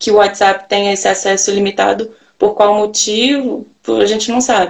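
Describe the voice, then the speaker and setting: A woman speaks with vocal fry. Her intonation stays fairly even. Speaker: live-stream host. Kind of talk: online live interview. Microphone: echo on her audio.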